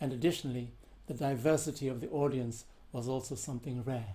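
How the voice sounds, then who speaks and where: A man with a dark, mellow tone and a somewhat breathy voice talks at a fairly quick pace. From South Africa. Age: 70s. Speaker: composer and percussionist. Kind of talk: prepared answers read to questions. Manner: formal.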